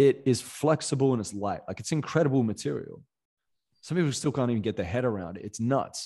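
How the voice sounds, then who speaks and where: Against a quiet background, a man with an Australian accent speaks at a fairly quick pace, his tone dark and mellow, his pitch medium and his intonation lively. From Perth, Western Australia. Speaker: motivational coach and podcaster. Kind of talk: podcast interview.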